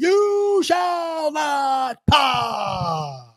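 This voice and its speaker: Using a put-on character voice, a man pushes his pitch extremely high. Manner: dramatic, with a stressed accented "pass".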